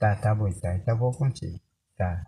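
This man speaks with an Amazonas accent at a medium pitch. His tone is dark, mellow and somewhat breathy. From Upper Rio Negro region, Amazonas, Brazil. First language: Baniwa (speaking Portuguese). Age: 70s. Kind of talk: oral storytelling to grandson. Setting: in a maloca around a fire at night.

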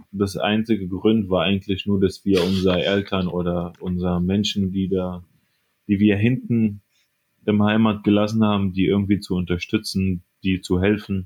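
Speaking with an Arabic accent, a man keeps a fairly low pitch and flat, monotone intonation at a fairly slow pace. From Syria, Aleppo. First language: Arabic (speaking German). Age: 20s. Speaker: radiology assistant. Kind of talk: interview.

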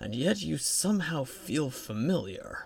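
A man's put-on character voice, raspy, with very wide pitch swings at a fairly slow pace. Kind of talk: fantasy audiobook character voice. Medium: read story. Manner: soft, deliberate, mysterious.

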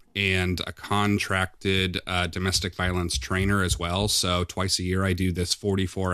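In a Midwestern American accent, a man speaks with a very deep, low pitch and fairly even intonation at a moderate pace against a quiet background. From US Midwest, Quad Cities (Iowa-Illinois border). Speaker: domestic violence program supervisor. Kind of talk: interview.

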